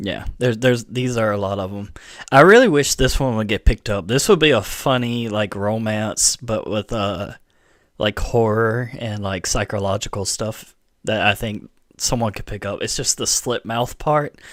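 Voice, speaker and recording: Speaking at a moderate pace, a man uses a Southern US accent and a medium pitch. His intonation is fairly even, and the recording is very clean with a silent background. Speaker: gaming and anime streamer. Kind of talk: live stream chat. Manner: casual, halting with fillers.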